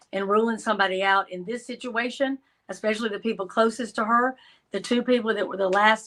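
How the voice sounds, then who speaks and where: A woman with a Georgia accent, fairly high pitch, fairly even intonation and a fairly quick pace. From Georgia, US South. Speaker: crime analyst guest. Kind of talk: casual interview chat.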